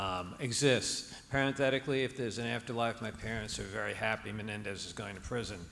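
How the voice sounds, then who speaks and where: A man with a New Jersey accent talks at a very fast pace with hardly any pauses, a medium pitch and fairly even intonation, amid audible room echo and noticeable background noise. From New Jersey, Hudson County. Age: 60s. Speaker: audience member asking question. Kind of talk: audience question. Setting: stage with audience.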